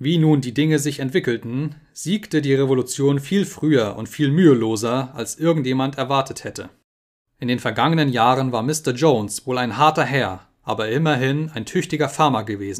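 Recorded very cleanly with a silent background, a man with an unremarkable speaking voice talks at a moderate pace in a medium pitch with ordinary variation. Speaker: audiobook narrator. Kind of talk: dramatic audiobook narration.

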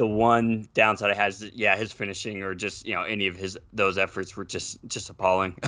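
A man's fairly low voice with an American accent, a bright, sharp tone, monotone, flat intonation and hardly any pauses. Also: fairly quick pace, quiet background. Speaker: football fan podcast guest. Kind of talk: casual chat.

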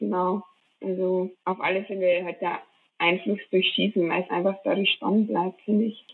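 A woman's ordinary speaking voice at medium pitch, moderate in pace, with fairly even intonation. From Bavaria, Traunstein area. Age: 20s. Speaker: professional biathlete. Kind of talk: interview.

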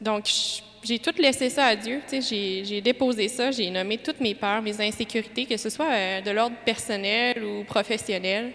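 In a Quebec accent, a woman speaks at a very slow pace. Her intonation stays fairly even. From Quebec (Lévis). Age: 20s. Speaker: parishioner giving testimony. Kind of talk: testimony.

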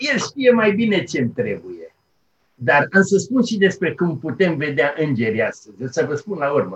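A man with a fairly high voice and vocal fry speaks with very wide pitch swings. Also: moderate pace. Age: 70s. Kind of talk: interview. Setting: remote call.

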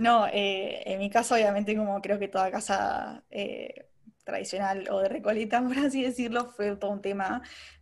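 A woman uses a normal speaking voice, medium in pitch, with fairly even intonation. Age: 20s. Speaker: advertising professional. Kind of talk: casual interview chat.

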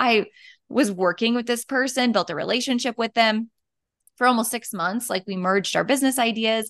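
Recorded dry and close with no echo against a quiet background, a woman with a plain, everyday voice and an American accent speaks at a fairly high pitch and a fairly quick pace, with ordinary pitch variation. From North Dakota, US. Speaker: boutique business founder. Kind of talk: interview conversation.

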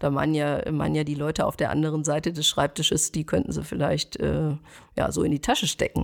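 Speaking at a fairly quick pace, a woman keeps her loudness very even, the sound dry and close with no echo. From Ruhr area, Germany (Schwerte). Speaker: stylist and image consultant. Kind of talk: interview.

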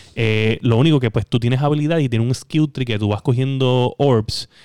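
A man speaks with a Puerto Rican accent at a medium pitch. His intonation is fairly even, and the sound is dry and close with no echo. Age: 30s. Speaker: gaming podcast co-host. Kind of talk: casual chat.

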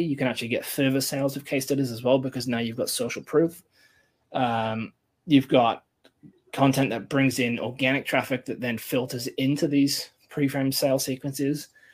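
Speaking with an English accent, a man keeps a moderate pace, medium pitch and fairly even intonation on a very clean recording with a silent background. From England. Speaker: content marketer. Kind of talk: casual interview.

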